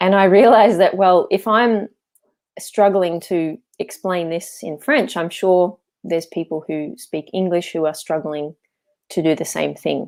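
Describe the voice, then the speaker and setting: In an Australian accent, a woman speaks at a fairly slow pace with medium pitch and ordinary pitch variation. The recording is very clean, with a silent background. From Australia, Melbourne. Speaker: landscape architect and English coach. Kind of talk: interview.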